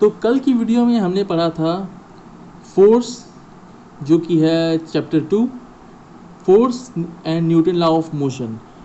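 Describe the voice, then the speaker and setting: The speech has long, frequent pauses. Its intonation is lively. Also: man, high pitch for a man. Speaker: physics teacher. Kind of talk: educational lecture to students. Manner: stammering, hesitant.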